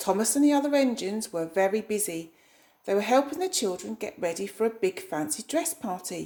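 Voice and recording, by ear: Lively intonation in a natural voice reading aloud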